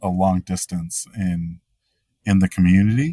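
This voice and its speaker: A man talks at a very slow pace in a very deep, low pitch. The sound is dry and close, with no echo. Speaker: hiking podcaster. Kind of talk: podcast interview. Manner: halting, many fillers.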